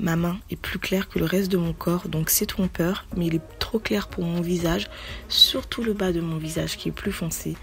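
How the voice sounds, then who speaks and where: A woman is speaking at a moderate pace. Music plays in the background. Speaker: beauty vlogger. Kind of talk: casual talk to camera.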